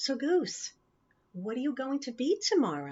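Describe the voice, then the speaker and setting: A woman puts on a character voice pitched high for a woman. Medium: read story. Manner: cheerful.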